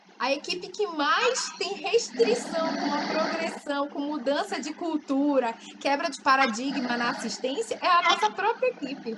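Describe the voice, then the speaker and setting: Pitched high, a woman speaks at a fairly slow pace with lively intonation. She leaves hardly any pauses, and background noise is noticeable. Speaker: physiotherapy lecturer. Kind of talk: webinar Q&A.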